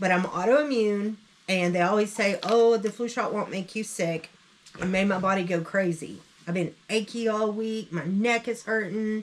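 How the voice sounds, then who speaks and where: Through noticeable background noise, a woman of medium pitch speaks at a moderate pace with fairly even intonation. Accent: Southern US. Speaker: online reseller, channel co-host. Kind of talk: casual chat.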